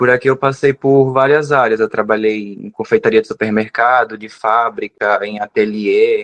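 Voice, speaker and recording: In an ordinary speaking voice of medium pitch, a man talks at a moderate pace with fairly even intonation and big swings in loudness, on a dry, close sound with no echo. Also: hardly any pauses. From Brazilian Northeast, Rio Grande do Norte / Ceará border. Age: 20s. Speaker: pastry chef. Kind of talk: interview conversation.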